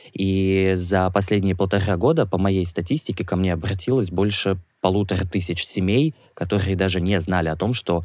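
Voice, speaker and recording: With music in the background, a man talks at a moderate pace in a very deep, low pitch. His loudness stays very even and his intonation fairly even. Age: 20s. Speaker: HIV activist, model and actor. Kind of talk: interview testimony. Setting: studio.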